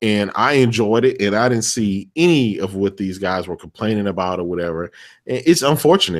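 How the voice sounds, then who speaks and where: An ordinary speaking voice from a man, fairly low in pitch, with lively intonation at a fairly quick pace, on a very clean recording with a silent background. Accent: American. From Texas. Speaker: gaming podcast guest. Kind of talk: casual chat.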